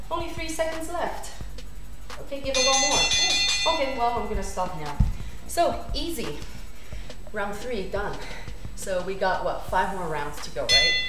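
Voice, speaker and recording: Speech at a moderate pace comes through loud background music and audible room echo. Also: woman. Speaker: fitness instructor. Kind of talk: workout instruction. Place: home room. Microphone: camera far.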